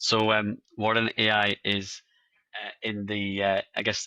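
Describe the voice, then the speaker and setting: In a dry, close sound with no echo, a man with a Scottish accent speaks at a fairly low pitch in a bright, sharp tone with flat, monotone intonation. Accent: Scottish, noticeable. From Scotland. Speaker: AI compliance company representative. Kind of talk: interview. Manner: halting, many fillers and repeats.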